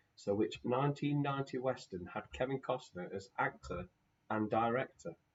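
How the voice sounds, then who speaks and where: Quiet and somewhat breathy, a man speaks at a moderate pace. His pitch variation is ordinary. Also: medium pitch for a man. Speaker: quiz host. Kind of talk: live online quiz.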